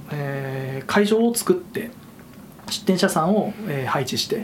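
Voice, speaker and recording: With lively intonation, a man speaks over noticeable background noise. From Fukushima, Koriyama. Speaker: event organizer and shop owner. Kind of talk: casual interview.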